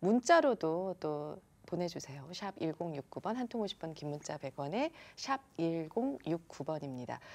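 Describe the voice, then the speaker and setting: Speaking at a very slow pace, a woman with a fairly low pitch uses lively intonation. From South Korea. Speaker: radio announcer. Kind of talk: interview. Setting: studio. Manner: formal. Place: studio.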